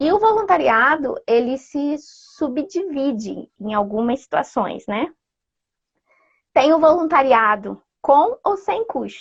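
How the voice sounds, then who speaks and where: At a very slow pace, a woman talks in a high pitch with very wide pitch swings. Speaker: ecovillage activist and traveler. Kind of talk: live interview. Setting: Instagram live video call.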